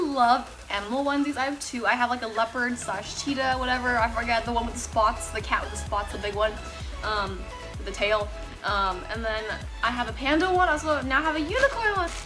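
A woman speaks in a raised, projected voice. Faint music sits in the background. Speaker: vlogger. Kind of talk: casual vlog chat. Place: home room. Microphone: camera far.

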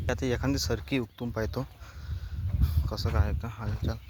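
A man speaks at medium pitch and a moderate pace, his intonation fairly even and his tone slightly mellow.

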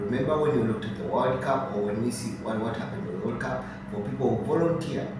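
A man talks at a fairly quick pace amid clear background noise and audible room echo.

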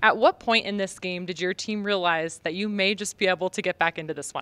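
A woman speaks at a fairly quick pace in a fairly bright tone. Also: fairly low pitch for a woman, ordinary pitch variation.

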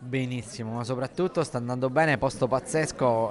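Recorded dry with no echo and light background noise, a man speaks at a medium pitch and moderate pace with fairly even intonation. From Sicily. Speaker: chef. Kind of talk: interview answer. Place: hall. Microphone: lapel.

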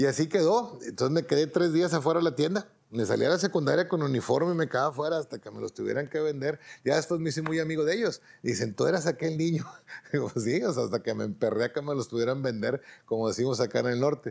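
Against a quiet background, a man with a fairly high pitch and vocal fry talks very fast with lively intonation. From Mexico. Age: 50s. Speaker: racing driver; interviewee. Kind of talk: interview monologue. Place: home room.

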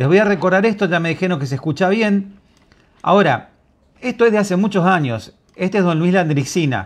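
A man speaks at a fairly quick pace in a high voice, his tone animated and his pitch variation ordinary. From Argentina. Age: 50s. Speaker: online journalist; commentator. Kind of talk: video commentary. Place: home room. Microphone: lapel.

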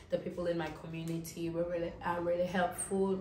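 Over light background noise and audible room echo, a woman speaks at a fairly low pitch and a moderate pace in a monotone, flat intonation. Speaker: travel vlogger. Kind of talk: casual vlog chat. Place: home room. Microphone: camera far.

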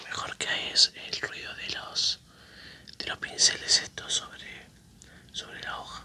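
Someone whispers at a fairly slow pace, leaving long, frequent pauses. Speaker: ASMR creator. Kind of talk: ASMR whispered chat while drawing. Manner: whispered. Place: home room.

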